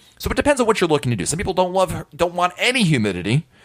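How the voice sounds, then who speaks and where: Speaking with an American accent, a man uses vocal fry and very wide pitch swings. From US Northeast (New England). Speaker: podcast host. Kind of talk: solo podcast monologue. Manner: conversational.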